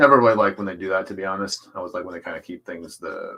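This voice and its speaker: A man talks in a bright, sharp, relaxed tone. His pitch varies in an ordinary way. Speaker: artist streaming a drawing session. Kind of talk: casual live stream chat. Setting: live stream at home, downstairs. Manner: relaxed, with many fillers.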